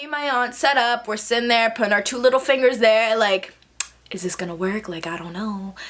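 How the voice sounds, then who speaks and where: Over noticeable background noise, a woman talks in an animated tone, her loudness swinging widely. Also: ordinary pitch variation, fairly quick pace. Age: 20s. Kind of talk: casual storytime talk to camera. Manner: animated, chatty.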